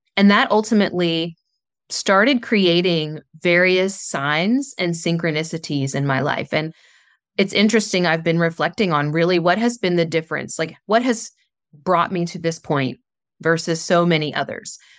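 A woman with an American accent uses an ordinary speaking voice, fairly low in pitch, with ordinary pitch variation and a moderate pace. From US South, southern West Virginia. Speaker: spiritual coach. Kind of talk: interview.

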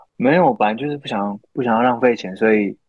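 A man with a normal speaking voice and ordinary pitch variation. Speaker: podcast co-host. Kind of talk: casual chat. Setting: remote call-in from Japan. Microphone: poor remote recording quality.

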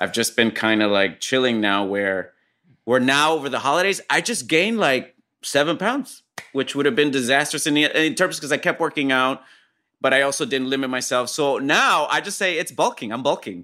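Against a silent background on a very clean recording, a man with a Puerto Rican accent talks at a moderate pace, his tone bright and sharp and his intonation lively. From Puerto Rico. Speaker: actor and comedian. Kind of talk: casual chat.

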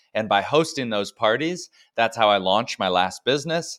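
This man has an unremarkable speaking voice, medium in pitch, with lively intonation at a moderate pace. The sound is dry and close with no echo, a very clean recording over a silent background. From US South, Dallas suburbs and North Georgia. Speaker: entrepreneur and author. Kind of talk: interview.

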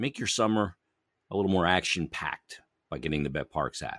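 The speaker's pitch varies in an ordinary way, the sound is dry and close with no echo, and the recording is very clean with a silent background. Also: man. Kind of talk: sports talk show with sponsor reads.

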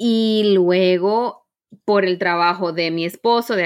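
A woman talks at a very slow pace, keeping a medium pitch and fairly even intonation. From Caribbean. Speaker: corporate trainer and coach. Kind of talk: interview.

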